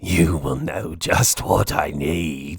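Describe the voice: A man puts on a character voice, slow in pace and extremely low in pitch, with vocal fry, a husky, rough edge, and ordinary pitch variation.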